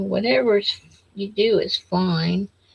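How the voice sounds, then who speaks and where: A woman mumbles with ordinary pitch variation. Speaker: crafter. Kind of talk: tutorial. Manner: mumbling.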